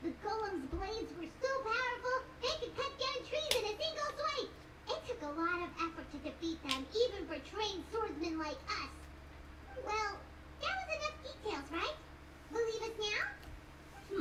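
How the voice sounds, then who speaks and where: A squeaky, extremely high put-on character voice comes through over loud background noise. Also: moderate pace. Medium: game stream. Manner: casual, open.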